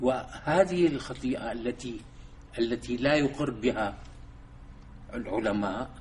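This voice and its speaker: A man speaks at a medium pitch with ordinary pitch variation, at a very slow pace with long, frequent pauses. Room echo is audible. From Syria, Damascus. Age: 70s. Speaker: Islamic thinker and civil engineer. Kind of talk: lecture. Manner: halting.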